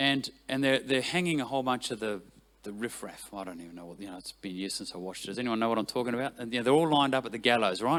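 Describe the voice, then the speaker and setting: Very fast, animated speech from a man with a New Zealand accent, on a very clean recording with a silent background. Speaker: worship leader. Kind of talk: talk to church team. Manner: animated, conversational.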